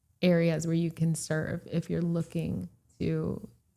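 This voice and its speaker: A woman speaks with a Florida accent. Her pitch is fairly low. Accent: American English, Florida. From Puerto Rico, raised in Florida from age three. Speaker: real estate broker. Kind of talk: casual interview chat.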